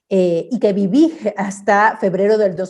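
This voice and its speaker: A woman speaks at a medium pitch. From Ecuador, Guayaquil. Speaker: artist and researcher. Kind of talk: online talk with slides. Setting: virtual event. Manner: many fillers and restarts.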